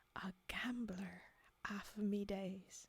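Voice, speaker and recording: A woman whispers in a put-on character voice, hoarse and dramatic in tone. The whole delivery stays breathy and low in volume. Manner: hoarse whisper, dramatic.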